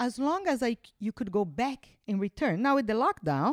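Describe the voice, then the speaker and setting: Her tone animated, a woman speaks at a moderate pace in a dry, close sound with no echo. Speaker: mother of a host. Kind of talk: casual chat.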